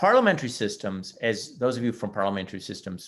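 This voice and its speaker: A man's medium-pitched voice with a Montreal accent at a fairly quick pace. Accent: Canadian English (Montreal). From Canada, Montreal, Quebec. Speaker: history professor. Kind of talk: webinar interview. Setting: online webinar. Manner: halting, with frequent repetitions.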